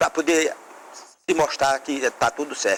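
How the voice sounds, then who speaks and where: Moderate pace and a fairly high pitch from a man. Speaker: mayoral candidate. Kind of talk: political debate statement. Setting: TV studio.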